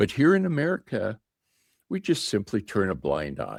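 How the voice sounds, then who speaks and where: His pitch swings very widely as a man speaks in a dry, close sound with no echo on a very clean recording with a silent background. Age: 60s. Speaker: retirement YouTuber. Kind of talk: vlog commentary. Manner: animated.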